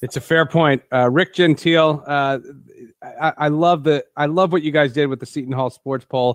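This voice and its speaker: A man talks at a moderate pace in a fairly high pitch. It is an ordinary speaking voice. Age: 40s. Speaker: sports podcast host. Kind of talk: interview.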